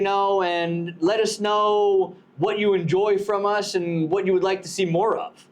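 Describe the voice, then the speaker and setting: This man has a high pitch. He talks at a moderate pace. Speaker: podcast host. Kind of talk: casual chat. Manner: loud; animated.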